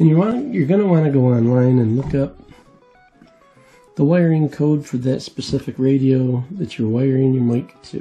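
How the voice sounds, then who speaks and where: Faint music plays in the background as the speaker moves at a moderate pace with ordinary pitch variation. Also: man. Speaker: hobbyist radio channel host. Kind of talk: tutorial. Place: workshop.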